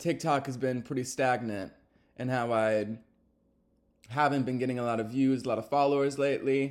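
A man with an American accent speaks at a medium pitch with ordinary pitch variation. The recording is very clean, with a silent background. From Texas. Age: 20s. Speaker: podcaster. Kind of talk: casual monologue. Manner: filler-heavy, says um a lot.

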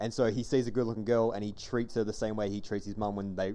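A man's fairly low, dark, mellow voice with an Australian accent, at a very fast pace with fairly even intonation. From Western Australia, Armadale (Perth). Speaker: podcast host. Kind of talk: casual chat.

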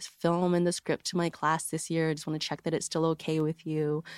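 The woman's voice is very deep and low in pitch, on a very clean recording with a silent background. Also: dry, close sound with no echo. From New York and New Jersey, US. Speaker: cinematographer. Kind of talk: casual interview.

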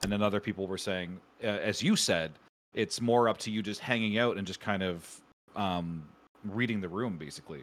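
Talking at a fairly quick pace with an ordinary speaking voice, a man with a Canadian accent has a fairly low pitch and ordinary pitch variation, on a very clean recording with a silent background. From Canada. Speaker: streamer. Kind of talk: casual interview chat.

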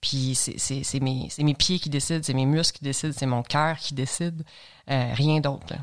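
Against a silent background in a very clean recording, a woman with a very deep, low pitch speaks at a fairly slow pace with fairly even intonation. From Quebec, Lanaudière (L'Assomption). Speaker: long-distance hiker. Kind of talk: interview, casual chat.

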